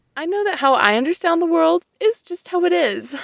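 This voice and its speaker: A squeaky, put-on character voice at a fairly quick pace with very wide pitch swings. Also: woman, extremely high pitch for a woman. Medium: audio drama. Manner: prim, airy.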